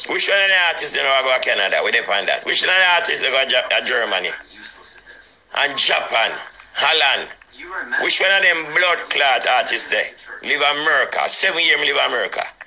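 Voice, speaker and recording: Noticeable background noise sits behind a man with a Jamaican accent who speaks in an animated tone at a fairly quick pace. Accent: Jamaican patois. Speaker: dancehall DJ. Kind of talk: heated phone rant.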